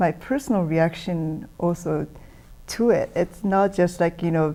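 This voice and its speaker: A woman's dark, mellow voice in a Japanese accent, fairly slow in pace and very even in loudness. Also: fairly low pitch for a woman, ordinary pitch variation. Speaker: musician. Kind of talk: interview.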